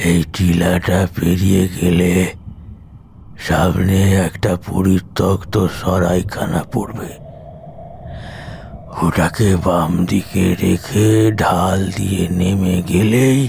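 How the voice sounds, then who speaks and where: A man uses a put-on character voice with a very deep, low pitch, fairly even intonation, very even loudness, and a very slow pace, with clear background noise behind him. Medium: audio drama. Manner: bitter, ominous.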